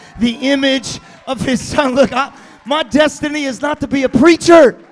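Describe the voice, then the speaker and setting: A man with an American accent speaks at an extremely high pitch in an animated tone. Noticeable background noise runs behind him. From US West, California. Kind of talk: sermon, preacher in full flow, rallying call-and-response. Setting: church with live congregation. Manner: animated, rhythmic, repeating phrases with rising intensity; loud, exhorting the crowd, with jokes.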